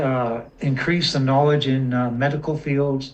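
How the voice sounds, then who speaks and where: Over noticeable background noise and audible room echo, a man talks at a fairly slow pace in a fairly high pitch. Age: 60s. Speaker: community member asking questions. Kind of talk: casual chat.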